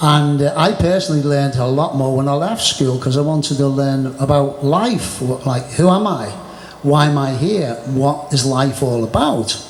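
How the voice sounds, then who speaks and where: A man with a Merseyside accent speaks at a moderate pace, his pitch fairly high with ordinary variation. Noticeable background noise and audible room echo surround him. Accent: northern English (Merseyside). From northern England, Birkenhead near Liverpool. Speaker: martial arts teacher. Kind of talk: casual chat.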